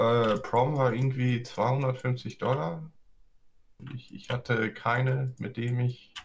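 Leaving long, frequent pauses, a man talks at a very slow pace in a somewhat breathy voice of medium pitch. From US, San Francisco Bay Area. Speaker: guest. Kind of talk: casual chat.

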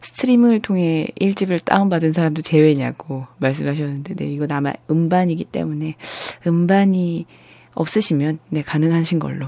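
Her voice very deep and low, a woman speaks at a moderate pace with ordinary pitch variation. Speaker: radio host. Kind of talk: casual live radio show. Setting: studio.

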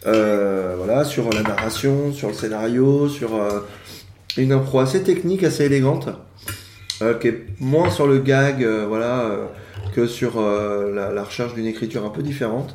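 Amid noticeable background noise and audible room echo, a man speaks with ordinary pitch variation and long, frequent pauses. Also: medium pitch for a man, fairly slow pace. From France, Yvelines (Paris region). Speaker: improv actor. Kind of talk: casual interview chat. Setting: home living room at brunch table.

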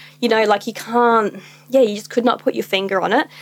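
This woman has an Australian accent. Her fairly high voice moves at a moderate pace. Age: 20s. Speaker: small business owner. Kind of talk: casual chat.

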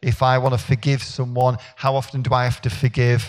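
The man's voice is somewhat breathy and medium in pitch, at a moderate pace. The recording is very clean, with a silent background. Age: 50s. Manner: slurs words together, unfinished sentences.

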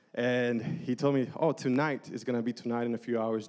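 A man speaks at a moderate pace in a medium pitch with fairly even intonation. He has an ordinary speaking voice. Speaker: church small-group leader. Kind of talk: testimony. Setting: church.

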